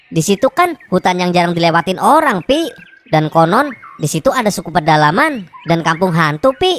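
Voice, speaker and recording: A cartoonish character voice speaks at a moderate pace with lively intonation. The sound is dry and close, with no echo. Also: woman, medium pitch for a woman. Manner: chatty, easygoing.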